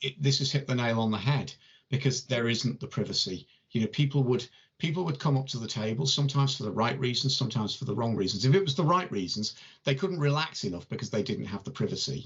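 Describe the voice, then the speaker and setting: At a very fast pace, a man with a somewhat breathy voice speaks at medium pitch with ordinary pitch variation. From northern England, between Warrington and Liverpool. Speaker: tarot reader and channel host. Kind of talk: casual chat.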